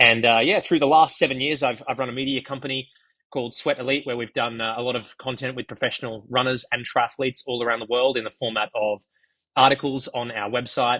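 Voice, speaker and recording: A man with an Australian accent talks at a very fast pace in a bright, sharp tone with fairly even intonation. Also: medium pitch for a man. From Australia, Gold Coast. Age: 30s. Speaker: runner and running media founder. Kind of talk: podcast interview.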